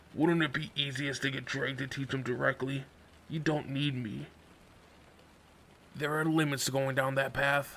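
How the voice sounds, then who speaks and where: A man performs a put-on character voice that is raspy and medium in pitch, with monotone, flat intonation, a moderate pace and long, frequent pauses. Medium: read story. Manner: grave, aloof.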